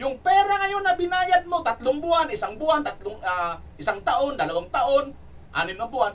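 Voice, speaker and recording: A loud, energetic man's voice at an extremely high pitch. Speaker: political commentary vlogger. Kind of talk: political commentary vlog with comment reading. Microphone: no microphone, voice quieter.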